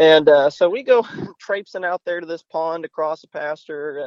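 A man with a plain, everyday voice speaks at a moderate pace and fairly high pitch, the sound dry and close with no echo. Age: 20s. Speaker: duck call maker. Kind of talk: casual chat.

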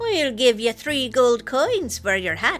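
Over clear background music, a female-sounding, creaky put-on character voice speaks at a high pitch and a fairly slow pace. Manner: bargaining.

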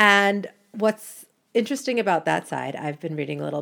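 In a very clean recording with a silent background, a woman with an American accent speaks in a normal speaking voice. Her intonation is lively and her pace moderate. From United States. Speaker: podcast host. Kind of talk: solo podcast monologue.

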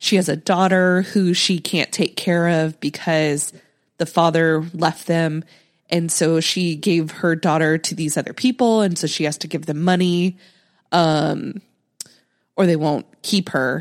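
A woman's fairly low-pitched, unremarkable speaking voice with fairly even intonation, on a very clean recording against a silent background. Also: fairly slow pace. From Nebraska, US Midwest. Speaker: podcast co-host, movie reviewer. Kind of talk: casual chat.

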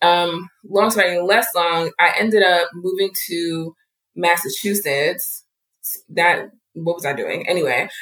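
In an American accent, a woman talks at a fairly low pitch with a normal speaking voice. Her pace is fairly slow and her intonation fairly even. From New Jersey. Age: 30s. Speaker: doula and author. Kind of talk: interview.

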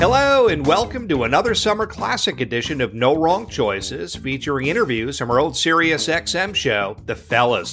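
A man's fairly high, bright, sharp voice with vocal fry, very wide pitch swings, a moderate pace, and hardly any pauses. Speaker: podcast host. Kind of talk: podcast intro and outro.

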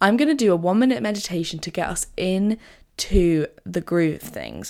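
This woman has a plain, everyday voice, pitched fairly low, moving at a moderate pace over a very clean recording with a silent background. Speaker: podcast host. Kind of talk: guided meditation; casual solo podcast talk. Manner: warm, friendly, conversational.

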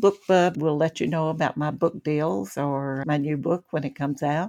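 A woman with an American accent speaks fairly slowly at a very deep, low pitch with ordinary pitch variation. The sound is dry and close with no echo, over a quiet background. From Kentucky, outer Bluegrass region. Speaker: novelist. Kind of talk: casual interview.

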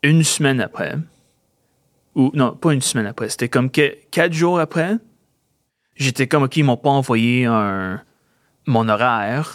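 On a very clean recording with a silent background, a man with a slight English accent speaks at a fairly slow pace with long, frequent pauses, in a dry, close sound with no echo. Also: medium pitch for a man, ordinary pitch variation. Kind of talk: casual interview. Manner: halting.

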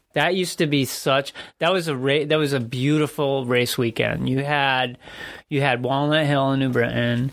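Speaking in a normal speaking voice, a man of medium pitch goes at a fairly slow pace. His intonation stays fairly even on a very clean recording with a silent background. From Connecticut, US. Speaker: cycling podcast co-host, amateur bike racer. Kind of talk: casual chat. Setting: studio.

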